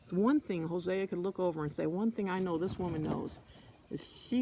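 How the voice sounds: Natural reading voice, ordinary pitch variation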